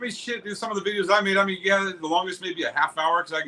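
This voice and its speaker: A man with an American accent speaks at a very fast pace and a high pitch. Noticeable background noise is audible throughout. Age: 40s. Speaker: reptile breeder. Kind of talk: casual chat.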